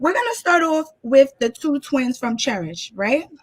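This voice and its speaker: Bright and sharp in tone, a woman talks at a moderate pace. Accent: strong New York. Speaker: guest commentator. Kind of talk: casual chat. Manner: animated.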